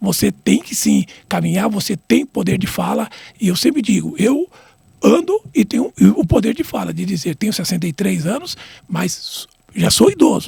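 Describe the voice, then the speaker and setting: The sound is dry and close with no echo as a man speaks at a moderate pace. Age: 60s. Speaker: retired football referee. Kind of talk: interview. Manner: halting, many repetitions.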